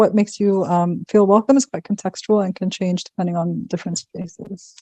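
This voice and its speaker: A woman's somewhat breathy, dark, mellow voice at medium pitch, with a fairly quick pace, fairly even intonation and a dry, close sound with no echo. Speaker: workshop facilitator. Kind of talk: interactive workshop presentation. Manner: fast.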